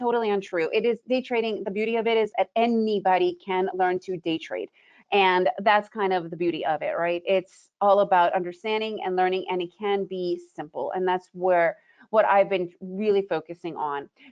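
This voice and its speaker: Delivered at a moderate pace with an American accent, the speech keeps a fairly even intonation. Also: woman, medium pitch for a woman. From United States. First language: Russian. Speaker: trading educator. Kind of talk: webinar presentation. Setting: webinar.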